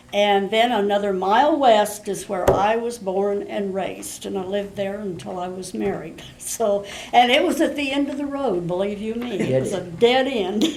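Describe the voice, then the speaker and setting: A woman with an American accent and lively intonation, hardly any pauses, amid audible room echo and noticeable background noise. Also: medium pitch for a woman, moderate pace. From rural Kansas, US Midwest. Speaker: interviewee, farm-raised elder. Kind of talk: oral history interview.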